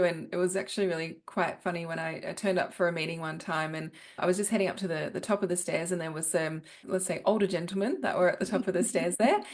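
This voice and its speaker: Talking at a very fast pace, a woman speaks with an Australian accent. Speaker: business professional, former headhunter. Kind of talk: podcast interview.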